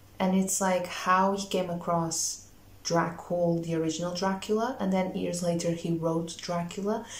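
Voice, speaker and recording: A woman's fairly low voice with fairly even intonation at a moderate pace, with audible room echo. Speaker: booktuber vlogger. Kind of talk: casual vlog talk to camera. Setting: at home. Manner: quiet, hushed at night. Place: home room. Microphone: phone near.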